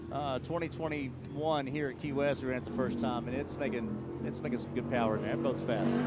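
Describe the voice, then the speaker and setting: Noticeable background noise sits under a man's voice. He talks at a fairly quick pace with a medium pitch and ordinary pitch variation. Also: hardly any pauses. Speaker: powerboat racer and guest commentator. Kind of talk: live commentary. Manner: fast; animated.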